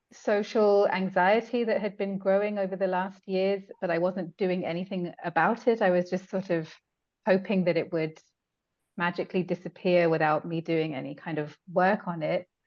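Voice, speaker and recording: A woman speaks in an English accent at a moderate pace. Her pitch is medium and her intonation fairly even. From England. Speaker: hypnotherapy client. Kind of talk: testimony. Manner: halting, many fillers.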